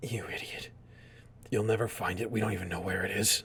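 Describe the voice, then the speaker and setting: A man's raspy, whispered put-on character voice at a fairly quick pace, with clear background noise. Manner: defiant, strained.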